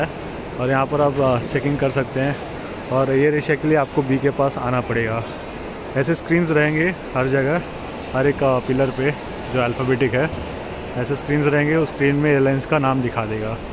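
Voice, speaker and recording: A man is heard with noticeable background noise. The sound is dry, with no echo. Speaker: travel vlogger. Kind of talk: casual vlog chat. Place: hall. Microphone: phone near.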